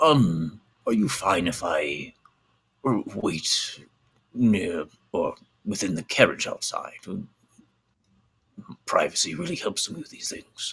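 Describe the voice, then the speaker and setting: A man uses a put-on character voice at a fairly slow pace. He leaves long, frequent pauses. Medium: actual play. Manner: hesitant, polite.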